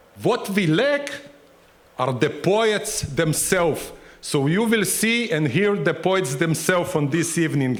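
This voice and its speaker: In a room with audible echo, a man with a high pitch talks with lively intonation and very even loudness. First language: not English. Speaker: cultural center host. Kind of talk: event welcome speech. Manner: halting. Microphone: microphone trouble, finishing without microphone.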